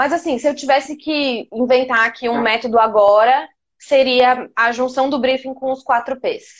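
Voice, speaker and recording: Speaking in a high voice, a woman keeps a moderate pace and fairly even intonation. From Minas Gerais, Brazil (Poços de Caldas). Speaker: marketing planner. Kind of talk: casual interview.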